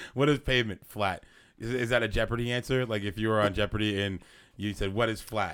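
Delivered at a very fast pace in an animated tone, the clip is a very clean recording with a silent background. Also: man, fairly low pitch for a man. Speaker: podcast host. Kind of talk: casual comedic banter.

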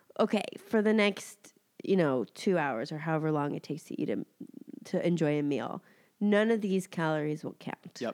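A nasal voice with lively intonation at a moderate pace, on a very clean recording with a silent background. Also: woman, fairly low pitch for a woman. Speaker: podcast co-host. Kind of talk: casual chat.

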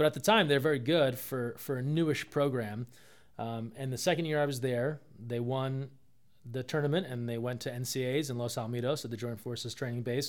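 A man with an ordinary speaking voice talks at a fairly quick pace with medium pitch. His intonation is fairly even, and the recording is very clean with a silent background. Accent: American. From New Jersey. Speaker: sports communications director. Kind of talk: casual interview. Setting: in person at a college.

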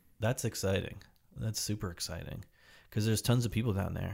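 A man talks with an American accent, sounding somewhat breathy. The recording is very clean, with a silent background. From New Jersey. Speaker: podcast host. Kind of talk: casual interview.

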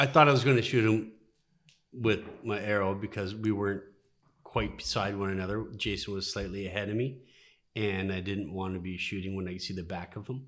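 A man speaks at a fairly quick pace in a normal speaking voice, fairly low in pitch. His intonation stays fairly even. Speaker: nurse and moose hunter. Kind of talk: casual chat. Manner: joking, playful.

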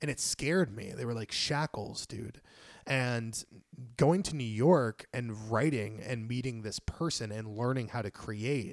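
Over a silent background in a very clean, dry and close recording, a man speaks at a medium pitch and a fairly slow pace. His tone is animated and his pitch varies in an ordinary way. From Puerto Rican background, grew up in inner-city US. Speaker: screenwriter and comic writer. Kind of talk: casual chat. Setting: home recording.

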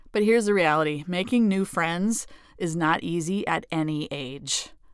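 A plain, everyday voice with lively intonation comes through on a very clean recording with a silent background. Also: woman. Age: 40s. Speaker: podcast host. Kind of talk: solo podcast monologue.

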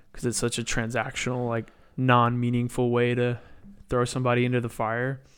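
At a fairly quick pace, a man with an American accent speaks at medium pitch in a flat monotone. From Texas. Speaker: DJ and music artist. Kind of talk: casual chat.

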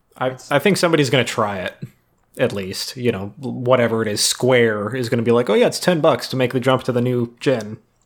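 Speaking fairly quickly, a man uses a plain, everyday voice at a medium pitch with ordinary pitch variation. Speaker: podcast co-host. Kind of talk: casual chat.

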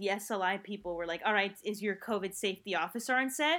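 A woman speaks at a medium pitch with ordinary pitch variation and a bright, sharp tone. The recording is very clean, with a silent background. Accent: American. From New Jersey. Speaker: filmmaker. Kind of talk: casual chat.

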